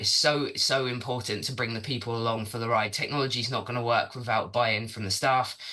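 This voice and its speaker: A man at a medium pitch talks fairly quickly and keeps his intonation fairly even, with noticeable noise behind him. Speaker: sustainability consultant. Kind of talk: presentation. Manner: fast.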